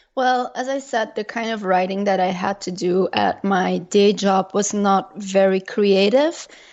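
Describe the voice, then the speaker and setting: Speaking with a Dutch accent, a woman uses a medium pitch and a fairly slow pace. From Belgium. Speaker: travel blogger. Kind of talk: interview.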